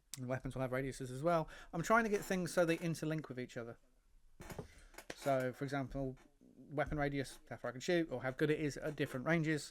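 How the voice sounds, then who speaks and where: A man with an English accent talks at a very fast pace in a fairly high pitch, with ordinary pitch variation and long, frequent pauses. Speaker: hobby model builder and game designer. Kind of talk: casual build commentary. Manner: rambling, hesitant.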